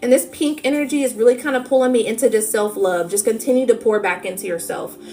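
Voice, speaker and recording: Over noticeable background noise, a woman with a fairly high voice talks very fast with ordinary pitch variation. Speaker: tarot reader. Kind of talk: spiritual reading livestream. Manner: animated.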